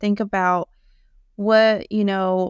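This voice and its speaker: A woman with a slight Southern US accent, medium pitch and monotone, flat intonation, in a very clean recording with a silent background and a dry, close sound with no echo. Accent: slight Southern US country. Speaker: Shopify web designer. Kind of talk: podcast interview.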